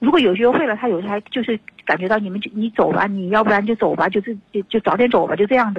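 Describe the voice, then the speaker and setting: The woman talks at a very fast pace with a fairly high pitch and ordinary pitch variation. Noticeable background noise is present. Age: 50s. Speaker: caller seeking advice about unfaithful husband. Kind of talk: radio call-in advice conversation.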